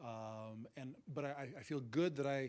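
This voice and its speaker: Here a man speaks at a medium pitch. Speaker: university science instructor. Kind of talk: panel discussion. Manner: fast talker.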